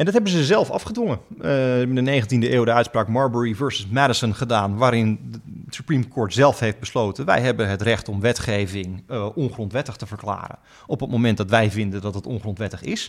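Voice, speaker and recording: A man talks at a fairly quick pace with an unremarkable speaking voice. His pitch is medium and varies in an ordinary way. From Friesland, Netherlands. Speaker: law professor and US politics expert. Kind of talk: podcast interview explaining politics.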